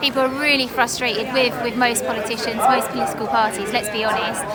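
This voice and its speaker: A woman speaks at a fairly quick pace and a high pitch. Crowd noise and audible room echo fill the background. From southern England, Harlow, Essex. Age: 30s. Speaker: parliamentary candidate. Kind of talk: interview.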